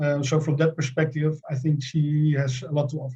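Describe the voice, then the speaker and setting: A man's fairly high voice with a Dutch accent, somewhat breathy and dark, mellow in tone, flat and monotone at a moderate pace. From Netherlands. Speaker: company CEO. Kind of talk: webinar panel discussion.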